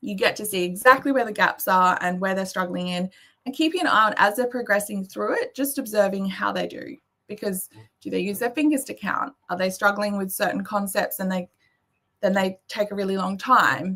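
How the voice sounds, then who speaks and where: Speaking fairly quickly in an Australian accent, a woman has a medium pitch, a bright, sharp tone and ordinary pitch variation. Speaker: maths education presenter. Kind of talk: presentation. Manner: fast.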